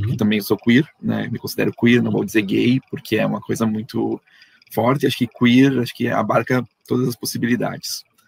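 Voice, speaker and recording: Moderately paced male speech, dry, close sound with no echo. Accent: Rio Grande do Sul. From southern Brazil, Erechim, Rio Grande do Sul. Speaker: comics artist and researcher. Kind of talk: online panel conversation.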